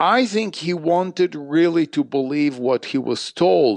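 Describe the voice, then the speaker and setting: A man speaks with an Arabic accent. The recording is dry and close, without echo. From Iraq, Baghdad. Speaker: history professor and author. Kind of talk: interview.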